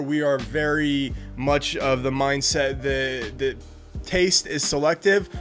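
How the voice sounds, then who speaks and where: Faint music plays in the background beneath a voice with ordinary pitch variation. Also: man. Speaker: cigar channel host. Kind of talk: product overview chat. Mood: relaxed, enthusiastic. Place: home room.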